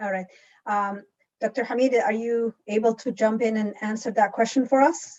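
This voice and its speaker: A woman with a plain, everyday voice speaks at a moderate pace and a fairly high pitch, her intonation fairly even. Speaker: town hall moderator. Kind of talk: moderated panel discussion. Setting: video call.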